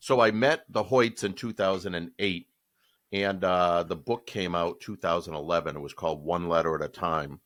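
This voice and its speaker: A man's very deep, low voice with a Boston accent, at a moderate pace. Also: ordinary pitch variation. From Boston area, Massachusetts. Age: 60s. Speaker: podcast co-host. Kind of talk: casual chat.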